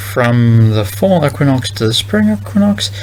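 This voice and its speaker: A man with a medium-pitched voice talks at a fairly slow pace, with noticeable background noise and audible room echo. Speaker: vlogger thinking out loud. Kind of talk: casual monologue. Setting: recording alone at night. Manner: halting.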